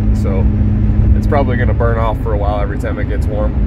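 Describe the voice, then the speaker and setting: Loud background noise surrounds a dry sound that carries no echo. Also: man. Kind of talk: casual vlog chat. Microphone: phone near.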